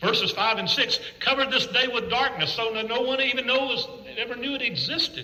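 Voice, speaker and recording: A man's raised, projected voice at an extremely high pitch, moderate pace, with audible room echo. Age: 60s. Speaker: preacher. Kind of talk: sermon.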